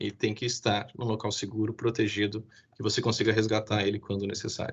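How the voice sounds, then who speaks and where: A man speaks at a fairly quick pace in a somewhat breathy, fairly low voice. His intonation is a flat monotone, and the background is quiet. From southern Brazil (Rio Grande do Sul). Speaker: IT security specialist. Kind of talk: webinar presentation. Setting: live stream. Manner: fast.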